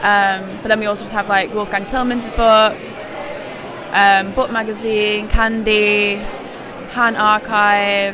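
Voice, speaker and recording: A woman speaks very slowly in a fairly high, flat monotone. Crowd noise murmurs in the background. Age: 20s. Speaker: curator. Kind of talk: casual interview. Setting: live event at a book fair.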